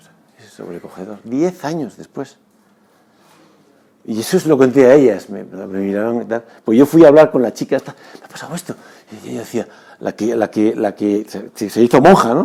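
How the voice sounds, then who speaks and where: Medium in pitch, a man talks at a moderate pace with lively intonation, big swings in loudness, and long, frequent pauses. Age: 60s. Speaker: former basketball player and sports doctor. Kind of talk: testimony. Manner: halting; earnest.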